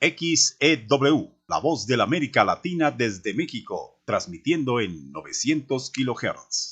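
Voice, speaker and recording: Using a put-on character voice, a man speaks slowly-ish at a fairly slow pace, his fairly high voice resonant. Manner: projected, broadcaster delivery.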